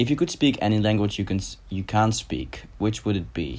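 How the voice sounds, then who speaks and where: Speaking at a moderate pace, a man talks with a Dutch accent. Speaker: YouTuber. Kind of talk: casual Q&A vlog.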